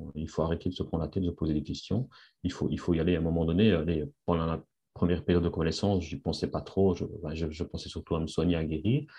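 A man's very deep, low pitch and dark, mellow tone come at a very fast pace with fairly even intonation. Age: 50s. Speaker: industrial engineer returning to work after sick leave. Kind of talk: testimony interview. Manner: halting, many repetitions and fillers.

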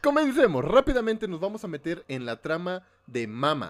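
The delivery has an animated tone, very wide pitch swings and a moderate pace. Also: man. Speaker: podcast host. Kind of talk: casual chat recapping a film.

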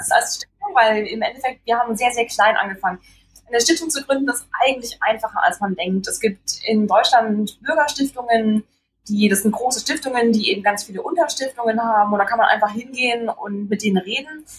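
This woman has a normal speaking voice, fairly high in pitch, with lively intonation and a fairly quick pace. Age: 20s. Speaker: foundation co-founder and trainee teacher. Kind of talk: interview.

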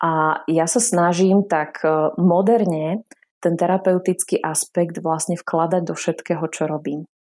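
A woman with an unremarkable speaking voice talks at a fairly slow pace, fairly low in pitch and fairly even in intonation, on a very clean recording with a silent background. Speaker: therapist and lecturer. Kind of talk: interview.

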